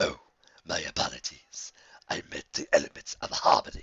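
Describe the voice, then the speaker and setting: In a put-on character voice, a man talks at a moderate pace with a raspy sound. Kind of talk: read story. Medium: read story. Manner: mocking, menacing.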